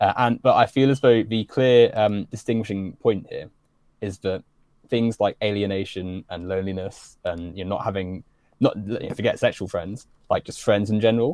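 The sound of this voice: This man has a slightly mellow tone and a fairly low pitch. His intonation stays fairly even. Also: moderate pace.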